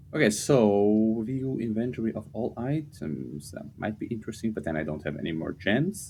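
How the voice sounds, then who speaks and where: Speaking with a non-native accent, a man with a fairly low pitch and a dark, mellow tone moves at a moderate pace, his pitch swinging very widely and hardly any pauses breaking his speech. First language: not English. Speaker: game streamer. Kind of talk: gameplay commentary.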